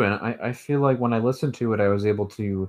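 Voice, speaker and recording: A man in a plain, everyday voice talks at a fairly quick pace and medium pitch. The background is quiet. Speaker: podcast co-host. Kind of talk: casual chat. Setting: video call.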